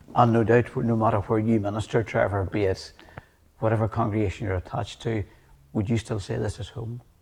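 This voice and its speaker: Over noticeable background noise, a man with a Northern Irish accent speaks in a fairly low, monotone voice with flat intonation. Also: fairly quick pace. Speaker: TV presenter. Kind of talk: interview. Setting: church.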